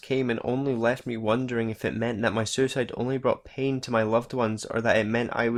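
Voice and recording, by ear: A natural voice reading aloud, the intonation fairly even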